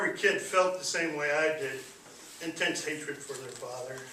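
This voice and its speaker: With a fairly high pitch and fairly even intonation, a man speaks at a moderate pace while noticeable background noise sounds behind him. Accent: American. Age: 50s. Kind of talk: public speech.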